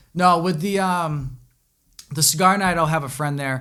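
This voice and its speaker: The voice belongs to a man with a fairly high pitch. His pitch varies in an ordinary way. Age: 20s. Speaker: podcast host. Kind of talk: casual chat. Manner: hesitant, many fillers.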